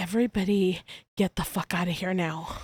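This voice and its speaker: Quiet and raspy, a female-sounding put-on character voice speaks at a medium pitch and a fairly quick pace. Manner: urgent.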